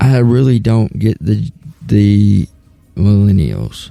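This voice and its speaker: With music in the background, a man with a fairly low pitch and a Southern US accent talks at a very slow pace. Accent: southern US accent, twang. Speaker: talk show host. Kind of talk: casual talk show monologue.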